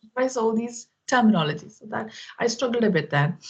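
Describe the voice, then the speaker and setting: Somewhat breathy and at a moderate pace, a woman with a Keralan accent talks over a quiet background. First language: Malayalam. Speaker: IT professional, English learner. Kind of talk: casual chat. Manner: halting.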